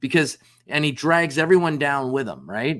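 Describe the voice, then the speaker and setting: A man talks in a plain, everyday voice at a moderate pace with fairly even intonation. The recording is very clean, with a silent background. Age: 60s. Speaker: business founder and sales executive. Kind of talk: podcast interview. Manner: casual, conversational with frequent fillers.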